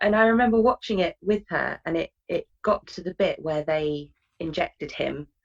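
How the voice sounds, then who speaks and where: A woman with a British accent speaks at a medium pitch and a moderate pace. The sound is dry and close, with no echo. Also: lively intonation. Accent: British accent, obvious. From UK. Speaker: interview guest with a phobia. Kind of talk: interview.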